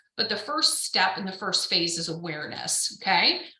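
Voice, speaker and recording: A woman's voice comes through with noticeable background noise and an audible echo from the room. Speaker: real estate coach. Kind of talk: webinar presentation.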